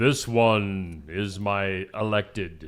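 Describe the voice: A man puts on a booming character voice at a fairly low pitch.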